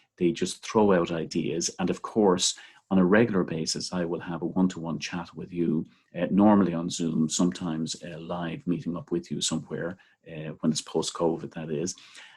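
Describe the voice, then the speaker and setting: Speaking at a moderate pace with an Irish accent, a man uses a very deep, low pitch and fairly even intonation. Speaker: seminary teacher trainer. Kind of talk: training video talk. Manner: relaxed, with frequent fillers.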